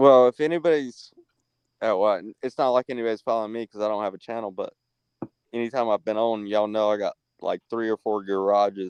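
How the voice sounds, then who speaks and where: With a slight Southern US accent, a man talks at a fairly quick pace in a fairly low voice, the sound dry and close with no echo. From North Carolina. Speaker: livestream guest. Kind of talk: casual chat. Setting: at his beach house, online call. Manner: halting.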